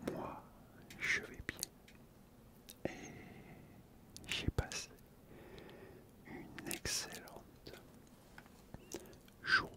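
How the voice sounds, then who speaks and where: A man whispers at a very slow pace in a calm tone, with long, frequent pauses. His loudness swings widely. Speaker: ASMR creator. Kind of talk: ASMR talk to camera, relaxing. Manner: soft, calm, slow. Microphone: studio mic.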